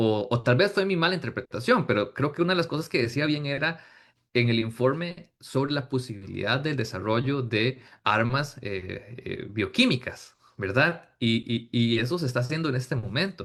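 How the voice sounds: A man speaks at a medium pitch with a fairly bright tone. His intonation is lively and his pace moderate.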